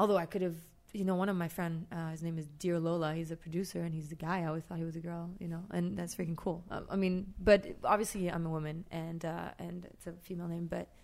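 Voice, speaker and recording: A woman with a French accent speaks at a fairly quick pace. Her fairly low voice stays monotone, with flat intonation. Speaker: street artist. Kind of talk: casual chat. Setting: studio.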